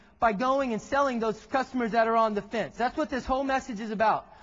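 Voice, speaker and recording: Speaking in an American accent, a man uses an extremely high pitch and an animated tone. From Texas. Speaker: tech presenter. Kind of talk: keynote presentation. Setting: stage with audience. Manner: fast.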